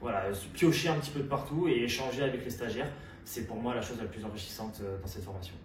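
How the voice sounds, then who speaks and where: There is noticeable background noise and audible room echo. A man talks very fast at medium pitch with lively intonation. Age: 20s. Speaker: handball coach. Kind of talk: testimony. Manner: hesitant, many filler sounds.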